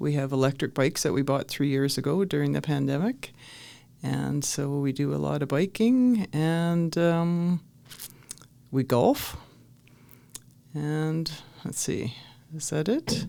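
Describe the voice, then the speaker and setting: At a very slow pace with long, frequent pauses, a woman speaks in a very deep, low pitch and lively intonation. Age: 60s. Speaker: retired bus driver. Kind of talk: casual interview. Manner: hesitant, many fillers.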